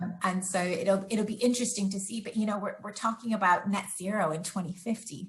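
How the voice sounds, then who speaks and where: A woman speaks at a fairly quick pace with hardly any pauses. Her pitch is medium and her intonation fairly even. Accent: American. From US Pacific Northwest. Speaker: sustainability researcher. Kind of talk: interview.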